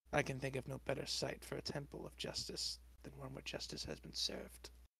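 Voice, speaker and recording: Raspy and quick, a man puts on a character voice at a fairly quick pace. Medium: actual play. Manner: stern, solemn, disdainful.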